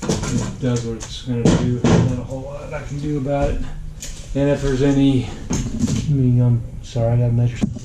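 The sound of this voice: A man talks at a moderate pace with a medium pitch. There is audible room echo around his voice.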